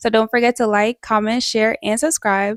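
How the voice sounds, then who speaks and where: A woman speaks with monotone, flat intonation in a dry, close sound with no echo. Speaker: lifestyle vlogger. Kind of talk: casual vlog talk. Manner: fast; stumbling over words, slight stutter.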